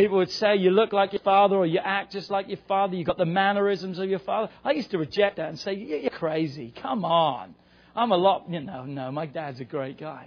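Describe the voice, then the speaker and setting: A man speaks loudly in a high voice with an animated tone, ordinary pitch variation, a fairly quick pace and hardly any pauses. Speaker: pastor. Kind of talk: sermon. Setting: church.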